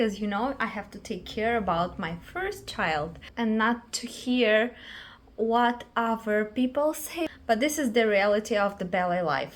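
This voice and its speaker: A woman at a fairly high pitch and fairly slow pace, lively intonation, and noticeable background noise. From Moldova, Chisinau. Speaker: ballet dancer and vlogger. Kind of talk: casual vlog talk. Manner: halting, with hesitations.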